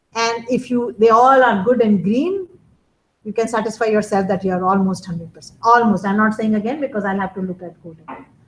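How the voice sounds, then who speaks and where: A woman speaks at a fairly high pitch and a fairly quick pace, somewhat breathy. Her loudness swings widely. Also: ordinary pitch variation. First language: not English. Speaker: college instructor. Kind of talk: lecture.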